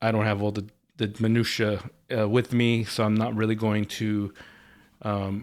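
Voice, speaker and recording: Long, frequent pauses break up this man's speech at a moderate pace. His fairly low voice stays monotone and flat. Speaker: football podcast host. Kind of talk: casual solo podcast talk. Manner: hesitant, many fillers.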